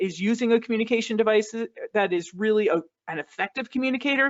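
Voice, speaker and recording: A woman with an American accent, fairly high pitch and a fairly quick pace. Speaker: speech-language specialist presenting online resources. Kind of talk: webinar presentation. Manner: fast; animated.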